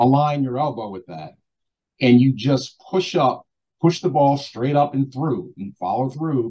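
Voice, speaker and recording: In an American accent, the voice sounds somewhat breathy with a dark, mellow tone. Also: man. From Baltimore, Maryland, US. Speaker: basketball assistant coach. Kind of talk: interview.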